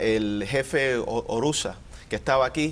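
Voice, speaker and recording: Here a man talks at a fairly slow pace with ordinary pitch variation. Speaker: politician. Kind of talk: TV panel discussion. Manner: halting.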